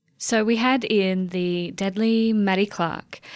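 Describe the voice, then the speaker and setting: A woman talks in an Australian accent at a medium pitch, with ordinary pitch variation. The recording is very clean, and the background is silent. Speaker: writer and guest interviewer. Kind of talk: interview conversation.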